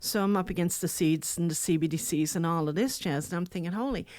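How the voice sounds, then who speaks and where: A woman with a Newfoundland accent talks at a fairly quick pace, her fairly low voice full of lively intonation. The recording is very clean, with a silent background. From rural Newfoundland. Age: 60s. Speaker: speaker, coach and adult educator. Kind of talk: podcast interview. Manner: animated.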